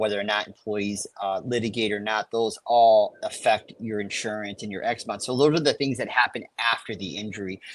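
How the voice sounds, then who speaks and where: A man speaks with an American accent at a fairly low pitch. The background is quiet. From Chicago. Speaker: safety consultant. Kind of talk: live webinar Q&A. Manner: fast.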